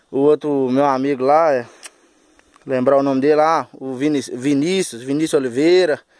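A man speaks at a moderate pace with a fairly high pitch and fairly even intonation. The background is quiet and the sound is dry with no echo. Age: 20s. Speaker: backhoe operator vlogger. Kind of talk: casual vlog monologue. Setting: outdoors at a road worksite. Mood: humble, friendly. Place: open country.

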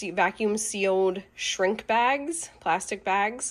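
The voice belongs to a woman. Her pitch varies in an ordinary way. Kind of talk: casual vlog chat. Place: kitchen. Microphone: phone near.

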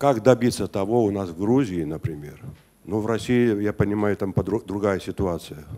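A man's fairly low pitch and dark, mellow tone at a moderate pace, with ordinary pitch variation. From Georgia. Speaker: audience member asking question; audience member. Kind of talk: audience question. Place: classroom. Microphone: handheld.

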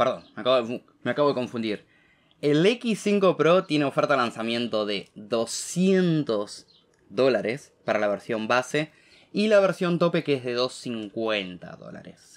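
A man speaks at a very slow pace in a Rioplatense accent, with very wide pitch swings and big swings in loudness. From Argentina. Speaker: tech YouTuber. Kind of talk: tech news commentary to camera. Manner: casual, many fillers. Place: home room.

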